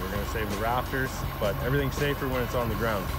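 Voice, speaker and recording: A man speaks over clear music in the background, with a dry sound and no echo. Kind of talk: casual vlog chat. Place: open country. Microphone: phone near.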